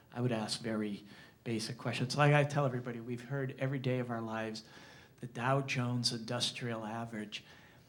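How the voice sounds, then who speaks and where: A man speaks at a fairly quick pace in a monotone, flat intonation. Audible room echo surrounds him. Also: medium pitch for a man. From Springfield, Massachusetts, US. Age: 60s. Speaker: journalist. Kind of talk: talk to an audience. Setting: library lecture with audience. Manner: halting, many repetitions.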